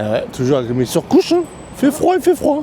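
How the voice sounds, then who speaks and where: Noticeable background noise fills the recording. Over it, a man talks in an animated tone. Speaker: travel vlogger. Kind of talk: casual vlog narration. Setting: outdoors and in shops, Osaka. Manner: speaking quietly on purpose.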